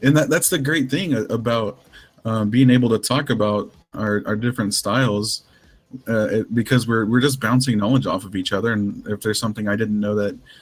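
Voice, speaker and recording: A man with an ordinary speaking voice talks fairly quickly at a medium pitch, his pitch varying in an ordinary way. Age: 30s. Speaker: stream host. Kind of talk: casual interview chat. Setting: online voice chat stream.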